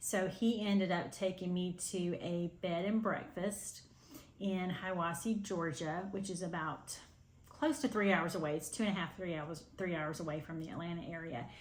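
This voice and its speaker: A woman with a fairly low pitch and vocal fry talks with ordinary pitch variation, and room echo is audible. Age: 60s. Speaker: cross-stitch video host. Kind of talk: casual chat to camera. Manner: hesitant, many fillers.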